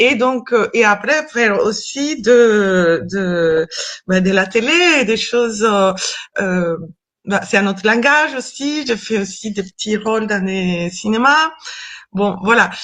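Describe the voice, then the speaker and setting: Very slowly and with lively intonation, a woman speaks at a fairly high pitch in a Colombian accent against a quiet background. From Colombia (Cali). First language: Spanish (speaking French). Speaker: actress and stage director. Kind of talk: interview. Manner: halting, many hesitations.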